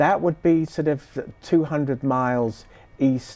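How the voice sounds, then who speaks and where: With a British accent, a man speaks at a very slow pace, medium in pitch, with lively intonation. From southeast England, Sussex. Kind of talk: interview.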